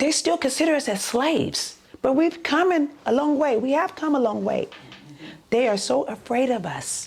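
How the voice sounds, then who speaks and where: With lively intonation and an animated tone, a woman speaks in a high voice over noticeable background noise. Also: moderate pace. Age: old. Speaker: community activist, senior resident. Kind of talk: documentary interview.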